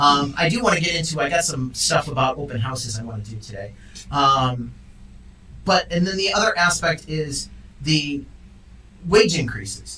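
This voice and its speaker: A man with a fairly high pitch talks at a moderate pace in an animated tone, his lively intonation broken by long, frequent pauses, with audible room echo and noticeable background noise around him. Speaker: real estate agent and show host. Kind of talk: casual chat. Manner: loud.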